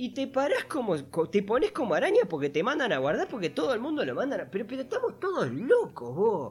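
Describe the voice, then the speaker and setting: With noticeable background noise behind him, a man speaks fairly quickly. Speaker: podcast co-host. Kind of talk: casual chat. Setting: remote recording.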